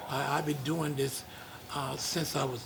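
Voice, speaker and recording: Noticeable background noise accompanies a man with a fairly high pitch. He speaks at a fairly slow pace with monotone, flat intonation. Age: old. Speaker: funeral home owner, undertaker. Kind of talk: interview answer.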